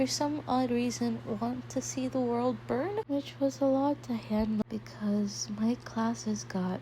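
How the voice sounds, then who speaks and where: A woman talks fairly slowly, and noticeable background noise can be heard. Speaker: art channel creator talking about university life. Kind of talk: casual vlog storytelling.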